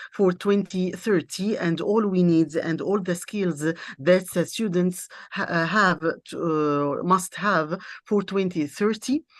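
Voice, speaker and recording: A woman speaks at a very slow pace, her pitch fairly low with ordinary variation. The background is quiet. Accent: Arabic. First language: Arabic. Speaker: university lecturer and interpreter. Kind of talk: conference presentation. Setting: international seminar. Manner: halting, many hesitations.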